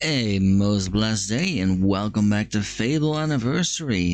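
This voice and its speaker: Calm, fairly low-pitched male voice with lively intonation at a moderate pace. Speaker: vtuber. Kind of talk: gaming let's play commentary. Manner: calm, chill.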